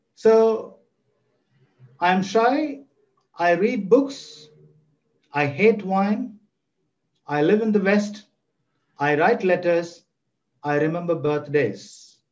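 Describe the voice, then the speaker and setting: Speaking very slowly, with long, frequent pauses, a man uses a high pitch and lively intonation. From South India (Chennai). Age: 60s. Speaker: professor. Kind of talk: lecture.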